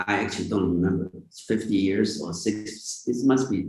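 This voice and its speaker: Somewhat breathy and fairly low in pitch, a man speaks at a moderate pace with ordinary pitch variation. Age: 80s+. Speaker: tech entrepreneur. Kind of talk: interview.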